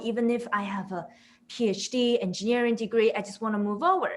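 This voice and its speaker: A woman talks at a fairly quick pace. Her voice is fairly high and has a bright, sharp tone. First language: not English. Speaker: product management director. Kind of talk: webinar interview.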